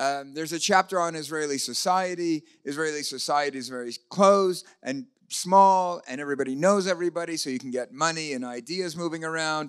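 Man at a fairly quick pace, with ordinary pitch variation, big swings in loudness and a quiet background. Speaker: speaker. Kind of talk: lecture. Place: hall. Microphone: handheld.

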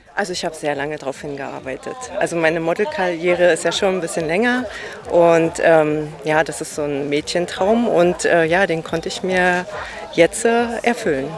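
Over noticeable background noise, a woman with a fairly low pitch talks at a moderate pace with ordinary pitch variation, the sound dry with no echo. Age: middle-aged. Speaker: model and sales rep in heating business; sales rep in heating business. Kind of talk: interview; interview answer. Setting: on location at a company. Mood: happy, proud. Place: garden. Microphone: handheld.

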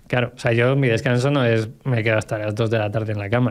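Over a quiet background, a man with a medium pitch talks at a very fast pace and keeps his intonation fairly even. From Segovia, Spain; Spain. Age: 30s. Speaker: entrepreneur; podcast guest. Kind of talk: casual chat. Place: studio. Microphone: studio mic.

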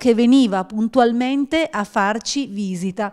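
Against a quiet background, a woman speaks at a very slow pace. Her pitch is fairly high, with ordinary variation. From mountain area of Piedmont, Italy. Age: 50s. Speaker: regional politician. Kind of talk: panel discussion. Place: office. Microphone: handheld.

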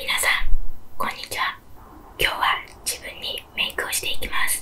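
Someone whispers. The pace is moderate. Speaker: ASMR creator. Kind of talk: ASMR makeup video, soft-spoken talk to camera. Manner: whispered, soft-spoken. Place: home room.

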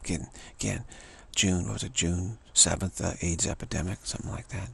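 At a fairly quick pace, a man with a low pitch, a fairly bright tone and vocal fry keeps fairly even intonation.

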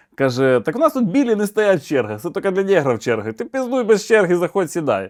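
Speaking at a fairly quick pace with very wide pitch swings, a man is heard on a very clean recording with a silent background and a dry, close sound with no echo. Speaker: comedian. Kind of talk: stand-up joke telling. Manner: animated, casual storytelling with crude swearing and voice impersonations.

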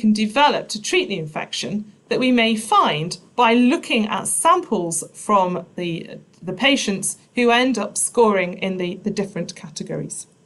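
A woman with a fairly high voice speaks at a moderate pace. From Nottinghamshire, England. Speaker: biochemistry professor; professor giving a talk. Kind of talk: public science lecture. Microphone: webcam.

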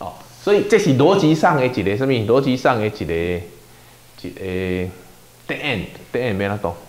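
With a Taiwanese accent, a man talks at a moderate pace with very wide pitch swings. Long pauses come often. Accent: Taiwanese Hokkien. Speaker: pastor leading Bible study. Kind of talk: Bible study teaching. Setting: church. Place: meeting room. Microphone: lapel.

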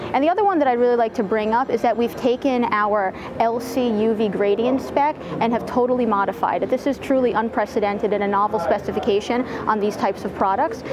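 A woman talks at a very fast pace with ordinary pitch variation amid noticeable background noise. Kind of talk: interview answer. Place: studio. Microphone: lapel.

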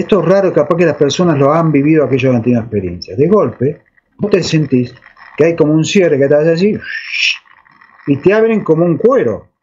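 A man with an Argentine accent speaks at a fairly quick pace. His fairly high pitch moves in very wide swings. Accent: Rioplatense Argentine Spanish. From Argentina, Buenos Aires. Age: 60s. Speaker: alleged UFO contactee; interviewee. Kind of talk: interview testimony. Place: home room. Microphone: video call.

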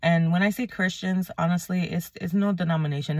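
Speaking at a moderate pace, a woman with a fairly low pitch sounds somewhat breathy and delivers a monotone, flat intonation in a dry recording with no echo and a quiet background. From New England, Puerto Rican heritage. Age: 30s. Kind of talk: casual faith talk to camera. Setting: in a car. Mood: earnest, concerned. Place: car. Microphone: phone near.

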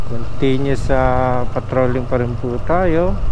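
A man's voice with ordinary pitch variation, dry with no echo, over noticeable background noise. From Philippines. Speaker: motorcycle patrol vlogger. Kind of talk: casual vlog narration while riding. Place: motorbike.

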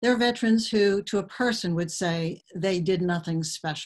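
Against a quiet background, a woman with a somewhat breathy voice speaks at a moderate pace with fairly even intonation. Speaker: author. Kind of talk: webinar presentation. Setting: video call. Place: home room. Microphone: webcam.

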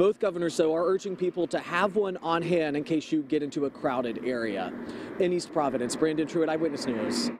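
A man talks at a fairly quick pace with ordinary pitch variation. The sound is dry with no echo, though background noise is noticeable. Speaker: TV news reporter. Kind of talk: news report stand-up. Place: street.

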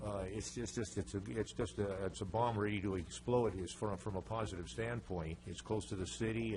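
Delivered at a fairly quick pace with lively intonation, the voice carries vocal fry, and audible room echo surrounds it. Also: man. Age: 70s. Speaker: resident speaking at public comment. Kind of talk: public comment at city council meeting. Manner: halting, many fillers and repetitions.

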